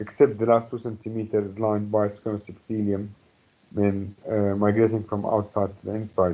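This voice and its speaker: A man speaks with an Arabic accent at a moderate pace and a fairly low pitch. His intonation is monotone and flat, his tone dark and mellow. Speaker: medical lecturer. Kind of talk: lecture. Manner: halting with many fillers.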